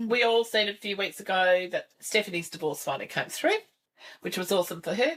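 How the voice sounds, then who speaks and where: A woman with an Australian accent at a fairly quick pace, with lively intonation. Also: medium pitch for a woman. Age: 60s. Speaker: podcast host. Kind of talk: casual chat. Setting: video recording with camera.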